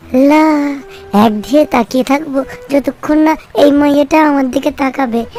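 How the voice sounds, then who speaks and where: Someone performs a cartoonish character voice at a moderate pace. Clear music plays in the background. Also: woman, high pitch for a woman. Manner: excited, playful.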